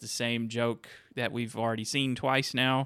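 A man's medium-pitched voice at a moderate pace, on a very clean recording with a silent background. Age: 30s. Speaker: movie podcast host. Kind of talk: casual chat.

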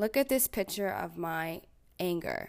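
With a Canadian accent, a woman speaks at a fairly slow pace with lively intonation. The recording is very clean, with a silent background. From Ontario, Canada (small town). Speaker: podcast host, social worker. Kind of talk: self-help podcast monologue.

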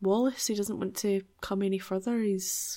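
A woman's dark, mellow voice at medium pitch, in a Glaswegian accent. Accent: Glaswegian Scottish. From Scotland, Glasgow area. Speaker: podcast co-host. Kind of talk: casual chat.

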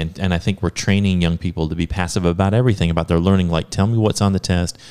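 A man's very deep, low voice with fairly even intonation, on a very clean recording with a silent background. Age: 40s. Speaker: school podcast host. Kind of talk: casual interview. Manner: halting, many restarts.

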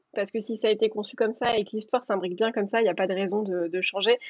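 A woman's normal speaking voice at a medium pitch, with fairly even intonation. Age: 20s. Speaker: professional beta reader and editor. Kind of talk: interview.

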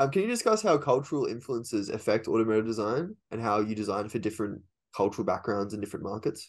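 Someone with an Australian accent speaks very fast with ordinary pitch variation against a quiet background. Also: man, medium pitch for a man. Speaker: podcast host. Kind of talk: casual interview chat. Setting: video call.

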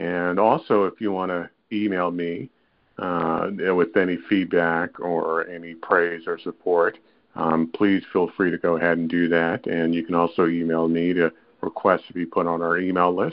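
At a moderate pace, a man speaks in a flat monotone with a very deep, low pitch. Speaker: podcast host. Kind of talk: scripted outro plea.

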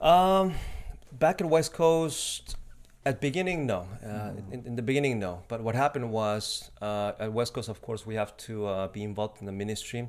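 A man with a Spanish accent speaks at a medium pitch with lively intonation. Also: moderate pace. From Mexico. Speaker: missionary. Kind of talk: casual interview. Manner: polite, formal (yes, sir).

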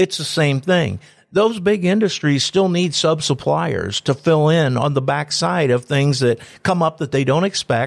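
A man with a Midwestern American accent at a moderate pace, ordinary pitch variation, in a very clean recording with a silent background and a dry, close sound with no echo. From Antwerp, northwest Ohio. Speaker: economic development director and radio host. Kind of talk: interview.

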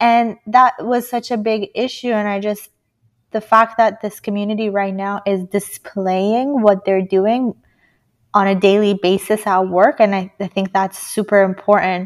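A woman speaks at a medium pitch and a fairly slow pace, in a monotone, flat intonation. The recording is very clean, with a silent background. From Iran. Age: 20s. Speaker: civil engineer. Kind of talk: interview.

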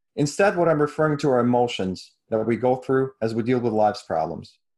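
Here is a man with a plain, everyday voice at a medium pitch, his intonation lively. The background is quiet. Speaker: author and co-creator. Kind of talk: casual interview chat about the story. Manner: conversational, thoughtful, with filler words.

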